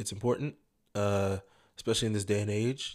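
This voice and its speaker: At a fairly quick pace, a man talks with a fairly low pitch in a very clean recording with a silent background. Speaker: podcast guest. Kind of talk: casual chat.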